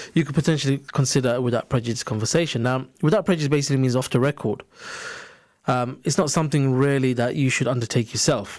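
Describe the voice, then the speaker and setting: A man's medium-pitched voice moves along at a very fast pace. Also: ordinary pitch variation. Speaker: employment solicitor. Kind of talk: radio interview with legal advice. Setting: radio studio. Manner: measured, explanatory, hesitant with fillers.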